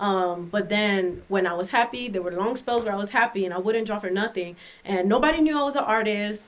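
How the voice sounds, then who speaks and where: A woman talks very fast at a fairly high pitch. Noticeable background noise runs underneath. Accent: American. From Miami, Florida. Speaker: artist and author. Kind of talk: casual interview, poetry reading.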